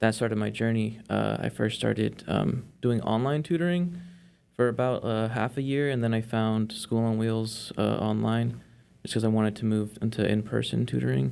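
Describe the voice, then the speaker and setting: A man in a Spanish accent, medium in pitch with ordinary pitch variation. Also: moderate pace. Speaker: volunteer tutor. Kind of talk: interview. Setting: studio.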